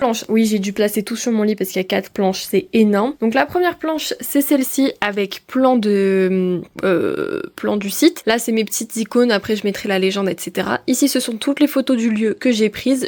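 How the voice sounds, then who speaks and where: An unremarkable speaking voice from a woman, fairly high, moderately paced, with lively intonation and hardly any pauses. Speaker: student vlogger. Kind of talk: casual vlog talk.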